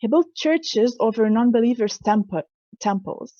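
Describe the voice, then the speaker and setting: With ordinary pitch variation, this voice has a somewhat breathy quality. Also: woman. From Lebanon. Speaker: symposium speaker. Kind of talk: presentation talk. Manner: halting, with self-corrections.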